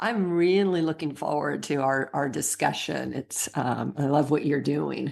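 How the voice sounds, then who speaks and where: A woman talks at a fairly slow pace with an American accent. She leaves hardly any pauses. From Northern California. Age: 60s. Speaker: coach and author. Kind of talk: interview.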